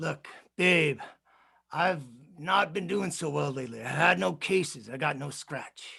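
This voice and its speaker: A man puts on a drawling, raspy character voice, fairly high in pitch, with lively intonation. He moves at a moderate pace with long, frequent pauses. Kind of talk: film noir voice-over. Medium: stage play. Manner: drawling tough-guy slang.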